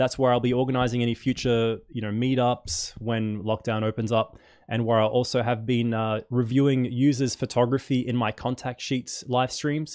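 Fairly even intonation in an Australian accent, with hardly any pauses. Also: man, quiet background. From Perth, Western Australia; Western Australia. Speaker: photography YouTuber. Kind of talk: live stream chat and unboxing. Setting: at home. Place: home room. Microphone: studio mic.

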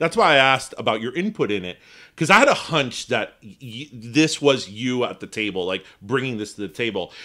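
Speaking at a fairly quick pace, a man with an American accent uses a medium pitch, lively intonation and a bright, sharp tone on a very clean recording with a silent background. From Miami, Florida, Cuban American. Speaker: podcast co-host. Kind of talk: casual interview. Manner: nervous giggling.

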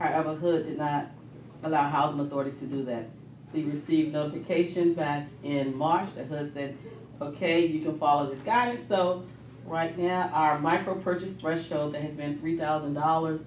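At a moderate pace, the voice comes through with audible room echo and light background noise. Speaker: presenter. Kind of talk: meeting report. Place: meeting room. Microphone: camera far.

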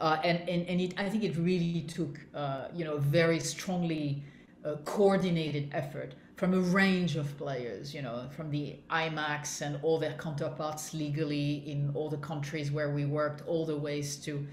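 In a room with audible echo and light background noise, a woman speaks at a moderate pace with a very deep, low pitch and fairly even intonation. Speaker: interviewee. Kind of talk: interview answer. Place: home room. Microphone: video call.

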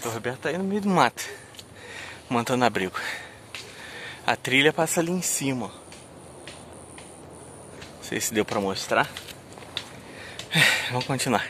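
A man speaks with very wide pitch swings and long, frequent pauses. The sound is dry with no echo, and there is noticeable background noise. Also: moderate pace. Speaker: outdoor channel host. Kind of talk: casual vlog chat. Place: forest. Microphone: phone near.

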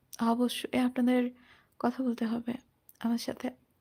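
A woman with a Bangladeshi accent, high in pitch, dark and mellow in tone, with monotone, flat intonation. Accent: Bangladeshi Bengali. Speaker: story narration YouTuber. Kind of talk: solo livestream chat. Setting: solo livestream.

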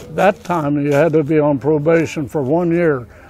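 At a moderate pace, a man speaks over noticeable background noise, the sound dry with no echo. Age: 90s. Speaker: senior amateur baseball player. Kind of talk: casual interview. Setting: outdoors. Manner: halting. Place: stadium.

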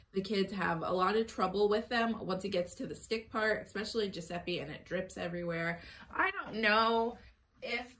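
Moderate pace and ordinary pitch variation from a female speaker. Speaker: mom vlogger. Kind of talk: casual vlog chat. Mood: cheerful, upbeat. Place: home room. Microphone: phone near.

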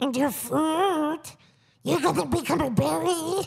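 A squeaky, hoarse, high-pitched put-on character voice speaks with a menacing tone at a fairly slow pace. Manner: creepy, menacing.

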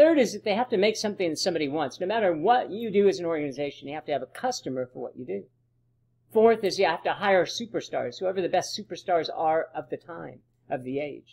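A man at a high pitch and a very fast pace, with big swings in loudness, over a quiet background. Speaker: presenter. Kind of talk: lecture. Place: home room. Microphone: webcam.

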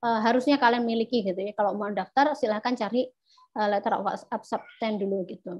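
The woman speaks at a moderate pace. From Indonesia (East Java). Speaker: scholarship alumna speaker; speaker. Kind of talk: presentation. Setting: video call. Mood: friendly, relaxed. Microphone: video call.

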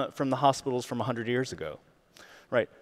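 Behind a man's talking, the background is quiet. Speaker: keynote speaker. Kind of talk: keynote talk. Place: stage. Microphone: headset.

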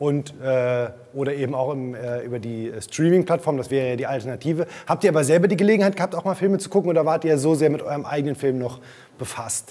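A man with a fairly high voice and an enthusiastic tone, at a very fast pace with ordinary pitch variation. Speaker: film interviewer. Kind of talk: interview. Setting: studio. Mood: friendly, relaxed. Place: studio. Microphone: lapel.

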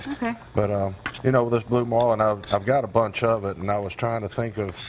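With light background noise, a man speaks at a moderate pace in a fairly low pitch with fairly even intonation and an unremarkable speaking voice. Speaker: guest. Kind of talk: tutorial. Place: studio. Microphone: lapel.

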